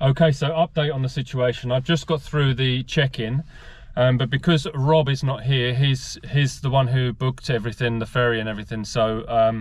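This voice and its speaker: Somewhat breathy, a man speaks at a moderate pace with fairly even intonation in a dry sound with no echo. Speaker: vlogger driving a classic car. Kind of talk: casual vlog chat. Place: car. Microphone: phone near.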